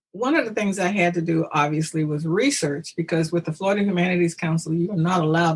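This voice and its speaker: A woman's fairly low voice at a very fast pace, with ordinary pitch variation over noticeable background noise. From US South, rural Georgia. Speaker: historical reenactor. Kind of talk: interview. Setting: podcast.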